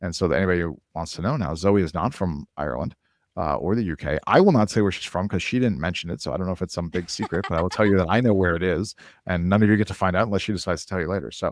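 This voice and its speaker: Talking at a very fast pace, a man with an American accent and a very deep, low voice shows ordinary pitch variation in a very clean recording with a silent background. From Minnesota. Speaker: podcast host. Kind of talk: podcast interview.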